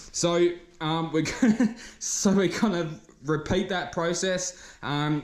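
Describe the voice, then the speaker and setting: A man with an Australian accent, a high pitch and ordinary pitch variation, at a very slow pace. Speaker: car painter. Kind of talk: tutorial. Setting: spray booth at workshop. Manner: halting.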